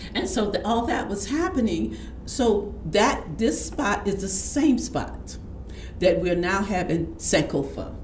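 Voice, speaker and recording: A woman with an American accent speaks at a very slow pace, with audible room echo and noticeable background noise in the recording. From Houston, Texas. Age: 70s. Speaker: community elder and healer. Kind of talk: interview storytelling. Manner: halting, with frequent restarts.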